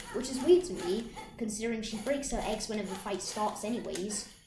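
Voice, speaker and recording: A woman speaks at a medium pitch. Audible room echo and noticeable background noise surround her voice. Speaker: gaming youtuber. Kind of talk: gameplay commentary. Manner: halting; loud.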